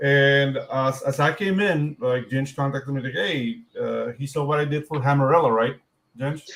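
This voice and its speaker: With a Spanish accent, a man speaks at a fairly high pitch. His pace is moderate and his intonation fairly even. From Panama. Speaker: comic book artist and writer. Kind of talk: casual chat.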